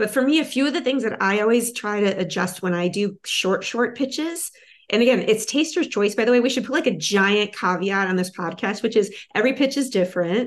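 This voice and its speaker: A woman with a plain, everyday voice and a fairly high pitch, lively intonation, a fairly quick pace and hardly any pauses, against a quiet background. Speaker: film producer. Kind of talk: workshop feedback discussion.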